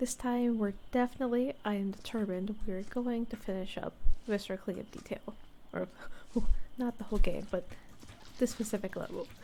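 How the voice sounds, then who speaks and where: At a moderate pace, a woman with a fairly high pitch and a dark, mellow tone speaks in a relaxed way, with ordinary pitch variation and long, frequent pauses. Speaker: ASMR VTuber / gameplay streamer. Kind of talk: soft-spoken ASMR gameplay commentary. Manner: soft-spoken, relaxed.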